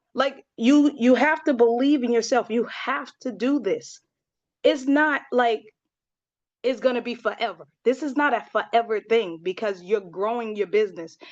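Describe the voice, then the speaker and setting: This woman keeps a moderate pace and ordinary pitch variation, with a quiet background behind her. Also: fairly high pitch for a woman. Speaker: network marketing team leader. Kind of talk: team training talk. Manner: animated.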